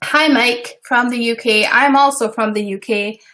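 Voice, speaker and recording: A woman with a Scottish accent, fairly high pitch and fairly even intonation. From Scotland. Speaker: web designer and business coach. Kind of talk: live stream tutorial. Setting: live stream. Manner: casual, chatty.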